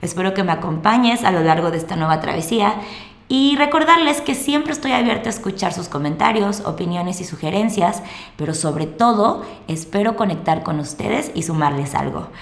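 A woman with a Mexican accent talks at a fairly quick pace and medium pitch, her pitch swinging very widely. Audible room echo and noticeable background noise surround her. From Mexico. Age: 20s. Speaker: podcast host. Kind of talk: monologue podcast introduction.

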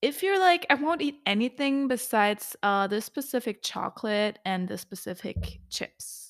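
This woman speaks with a non-native accent. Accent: heavy non-native. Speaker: podcast host. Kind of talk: solo podcast monologue on nutrition. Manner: casual, laughs often, chatty.

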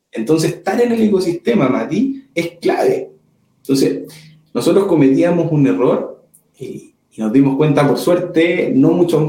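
Lively intonation from a man with a high-pitched voice. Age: 30s. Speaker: corporate innovation manager. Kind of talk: interview. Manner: halting, with fillers and repeats.

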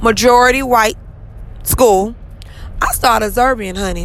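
A woman speaks in an animated tone at a fairly high pitch. Audible room echo and noticeable background noise surround her voice. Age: 30s. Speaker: podcast host. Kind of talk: motivational monologue.

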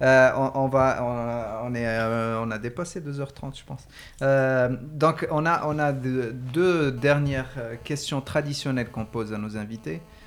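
A man at a medium pitch, talking at a very slow pace with big swings in loudness. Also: ordinary pitch variation. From Morocco. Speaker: podcast host. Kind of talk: casual discussion. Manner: halting.

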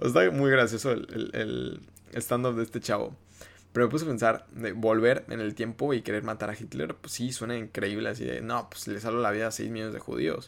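Fairly quick, medium-pitched male speech with vocal fry and ordinary pitch variation, on a very clean recording with a silent background. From Mexico, Yucatán. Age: 20s. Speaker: TikToker and podcast host. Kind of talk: casual solo monologue. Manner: relaxed, low-key.

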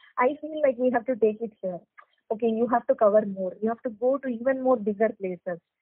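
Speaking with a Tamil Nadu accent, a woman uses a fairly high pitch and ordinary pitch variation. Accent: Tamil Indian English. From Chennai, Tamil Nadu, India. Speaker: doctor and beauty pageant model. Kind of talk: interview. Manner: hesitant, many fillers.

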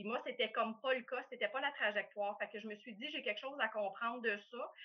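The delivery runs fairly fast, with pitch shifting in a normal way. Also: woman. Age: 50s. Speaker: coffee company owner. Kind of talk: interview. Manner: hesitant, many fillers.

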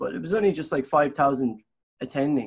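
Speaking at a moderate pace with a southern Irish accent, a man uses a fairly high pitch against a quiet background. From Ireland, Tipperary. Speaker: singer-songwriter. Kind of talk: interview. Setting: remote call.

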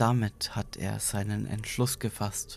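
With music in the background, a man speaks at a very slow pace in a fairly low voice. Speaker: podcast narrator. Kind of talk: horror story narration, read aloud as a creepypasta.

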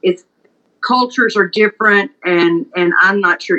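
A woman speaks with a Mississippi accent. Her pitch varies in an ordinary way. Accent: Mississippi Southern. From US South, Mississippi Delta. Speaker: pharmacist. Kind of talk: casual chat.

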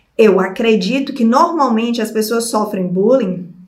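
Her voice fairly high and her tone animated, a woman talks at a fairly slow pace amid audible room echo. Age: 30s. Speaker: video creator. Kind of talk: personal storytelling vlog. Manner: animated, laughing often.

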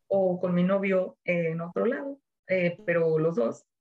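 Fairly slow, somewhat breathy speech from a woman with a fairly low pitch. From Mexico, Jalisco (Ocotlán). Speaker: former flight attendant. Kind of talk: interview, casual chat.

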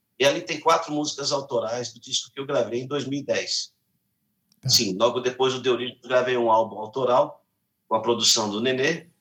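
A man with a medium pitch and an ordinary speaking voice, at a moderate pace with fairly even intonation. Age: 50s. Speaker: singer and musician. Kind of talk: interview.

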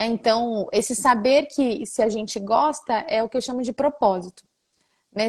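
Her voice sits high in pitch. She talks at a moderate speed. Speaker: podcast host. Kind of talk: casual interview.

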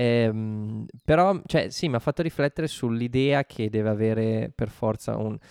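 Against a quiet background, a man with a normal speaking voice talks at a fairly slow pace and medium pitch, with ordinary pitch variation, hardly any pauses, and a dry, close sound with no echo. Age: 30s. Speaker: podcast co-host. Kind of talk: casual chat about a TV show.

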